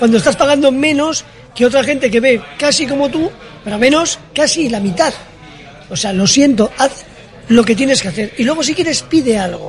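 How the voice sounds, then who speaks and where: Over noticeable background noise, a man with an extremely high voice talks at a moderate pace with ordinary pitch variation. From Bilbao, Basque Country. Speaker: café owner. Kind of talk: casual chat. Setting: café. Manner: animated.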